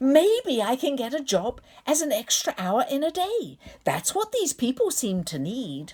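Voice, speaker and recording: A woman puts on a character voice, raised and projected at a high pitch with very wide pitch swings. Her pace is moderate. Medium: read story. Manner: earnest, eager.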